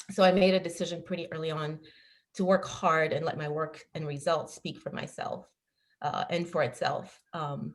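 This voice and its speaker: A woman's somewhat breathy voice, fairly low in pitch, at a moderate pace with fairly even intonation. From Ghana, raised in Paris, France. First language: French. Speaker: business leader, panelist. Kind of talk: panel discussion.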